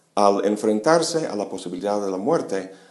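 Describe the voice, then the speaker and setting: A man's fairly low, dark, mellow voice with lively intonation and audible room echo. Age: 50s. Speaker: philosophy lecturer. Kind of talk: lecture.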